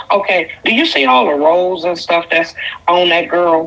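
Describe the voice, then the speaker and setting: A woman's fairly low voice at a moderate pace, over noticeable background noise. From Detroit, Michigan. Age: 50s. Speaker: caller. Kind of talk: call-in opinion. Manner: animated.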